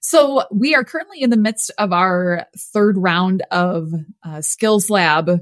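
An ordinary speaking voice from a woman with an American accent, medium in pitch and fairly slow, in a very clean recording with a silent background and a dry, close sound with no echo. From US Midwest. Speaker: nonprofit executive director. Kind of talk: interview.

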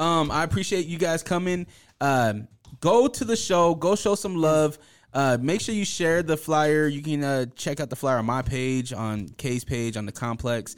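A man's plain, everyday voice, fairly high in pitch, with lively intonation at a moderate pace. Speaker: podcast host. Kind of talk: casual podcast interview.

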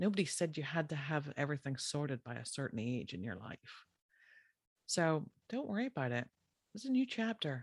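A woman in an Irish accent talks at a fairly quick pace in a very deep, low voice with very wide pitch swings, recorded with a dry, close sound with no echo and a very clean, silent background. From Ireland. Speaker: podcast host, animal health practitioner. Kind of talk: casual solo podcast talk.

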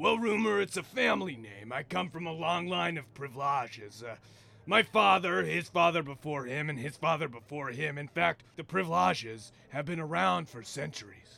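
With a smug tone, a man with a fairly high pitch talks at a moderate pace, his voice making very wide pitch swings and big swings in loudness. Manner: smug, sleazy, obsessed with saying hot.

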